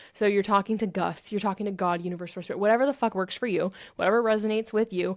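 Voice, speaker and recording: A woman speaks at a very fast pace with an animated tone and a medium pitch. The recording is very clean, with a silent background. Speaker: self-help podcast host. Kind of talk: podcast monologue.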